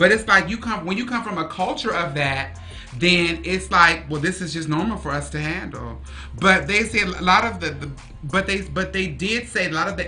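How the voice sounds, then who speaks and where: The voice has audible room echo. Music plays in the background. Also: woman. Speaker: podcast host. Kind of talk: casual chat. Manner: loud; halting.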